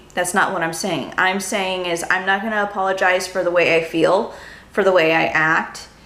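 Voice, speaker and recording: A woman with an American accent, medium in pitch and bright, sharp in tone, amid audible room echo. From California. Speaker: YouTuber, lifestyle blogger. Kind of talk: casual vlog monologue. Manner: rambling, hesitant with fillers.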